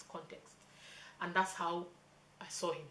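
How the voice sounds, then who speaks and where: Amid noticeable background noise and audible room echo, a woman talks at a fairly quick pace in a fairly low voice. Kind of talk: casual chat. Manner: fast.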